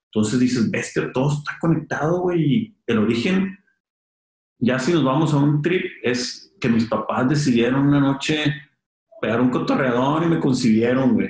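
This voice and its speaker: A man talks at a moderate pace with ordinary pitch variation. His voice sounds somewhat breathy. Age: 30s. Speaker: clothing brand founder. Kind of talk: casual interview chat.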